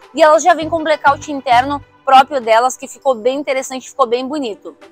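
A woman speaks at a high pitch with ordinary pitch variation. Faint music plays in the background, and the sound is dry, with no echo. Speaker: presenter. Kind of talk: product tour presentation. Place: street. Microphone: lapel.

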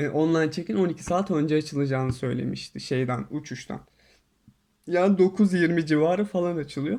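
A man's fairly high voice with ordinary pitch variation, at a moderate pace over a quiet background. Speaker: YouTuber. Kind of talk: casual storytelling monologue. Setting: in quarantine hotel room.

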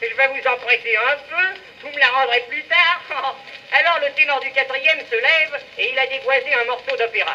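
Using a raised, projected voice, a man speaks at an extremely high pitch with fairly even intonation and a moderate pace. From France. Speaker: music hall comedian. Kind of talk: comic monologue. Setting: early acoustic phonograph cylinder recording. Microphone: old recording.

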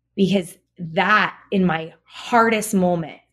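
Her words come at a very slow pace as the woman speaks. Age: 40s. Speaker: registered dietitian and author. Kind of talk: interview conversation.

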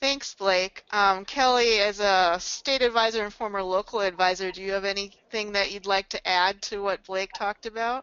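A woman at a medium pitch and a moderate pace has an ordinary speaking voice. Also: fairly even intonation. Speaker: membership director and webinar moderator. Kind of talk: webinar presentation. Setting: webinar broadcast.

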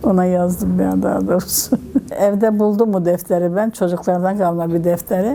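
Intonation stays fairly even at a moderate pace. Noticeable background noise sits behind the voice. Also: woman. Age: 70s. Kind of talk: interview answer.

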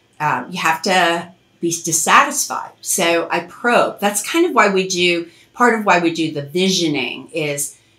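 A woman with fairly low pitch, lively intonation and a bright, sharp tone, at a fairly slow pace, with audible room echo.

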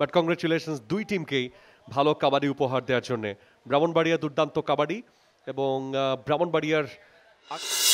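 With ordinary pitch variation, the man speaks at a fairly high pitch. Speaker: sports commentator. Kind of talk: sports commentary. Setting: outdoors at the venue, live at the kabaddi turf. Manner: excitable, emphatic, praising big moments.

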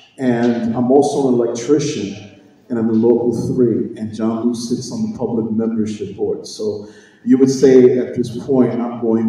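A man in monotone, flat intonation at a fairly slow pace, with strong room echo. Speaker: candidate. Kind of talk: political speech. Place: hall. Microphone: camera far.

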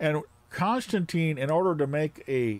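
A man speaks at a fairly high pitch with a slightly mellow tone.

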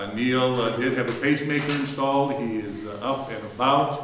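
At a fairly slow pace, a man speaks with ordinary pitch variation, with audible room echo around him. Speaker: pastor. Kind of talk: church announcements. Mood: warm, earnest. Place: church. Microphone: camera far.

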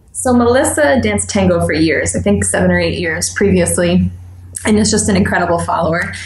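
A woman with an American accent and a very deep, low pitch speaks at a fairly quick pace with very wide pitch swings over noticeable background noise. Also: very even loudness. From New York, US. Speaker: dance instructor. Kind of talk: casual interview.

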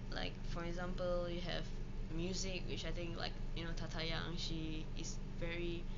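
Loud background noise behind a woman speaking at a moderate pace. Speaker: vlogger. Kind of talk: casual travel vlog. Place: home room. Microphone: phone near.

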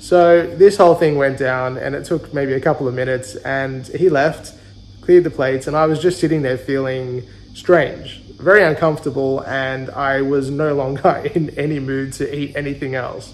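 A man talks with fairly even intonation, keeping a moderate pace. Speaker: travel vlogger. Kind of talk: casual vlog chat. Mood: recounting an uncomfortable experience. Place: home room. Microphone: phone near.

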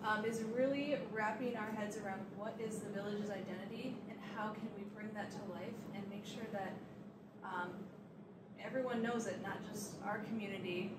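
Loud background noise fills the clip. A woman speaks through it at a moderate pace. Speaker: village staff host. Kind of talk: public meeting introduction. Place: meeting room. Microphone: handheld.

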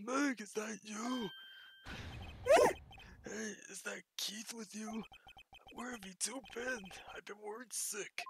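A put-on character voice, raspy and fairly high, at a fairly slow pace with long, frequent pauses. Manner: worried, concerned.

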